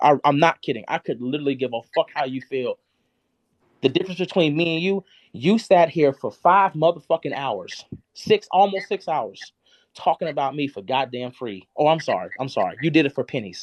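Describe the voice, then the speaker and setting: A man speaks at a fairly high pitch with lively intonation and an animated tone. The pace is fairly quick, and the sound is dry and close with no echo. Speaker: live streamer. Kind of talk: heated rant. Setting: live stream. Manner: loud.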